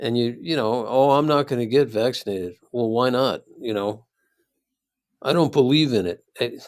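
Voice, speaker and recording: A man is speaking at a moderate pace. The recording is very clean, with a silent background. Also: medium pitch for a man, ordinary pitch variation. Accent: Midwestern. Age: 60s. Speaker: philosophy professor. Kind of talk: casual chat.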